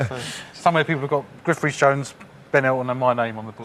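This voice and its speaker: Very fast speech from a man at medium pitch, ordinary pitch variation, amid noticeable background noise. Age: 40s. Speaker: quiz contestant, network manager. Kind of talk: casual chat. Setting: TV studio.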